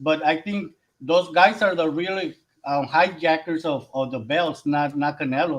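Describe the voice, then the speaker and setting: The speaker has a Mexican accent, a moderate pace and ordinary pitch variation. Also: man. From Mexico. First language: Spanish. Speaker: boxing podcast panelist. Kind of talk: casual boxing discussion. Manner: halting, searching for English words.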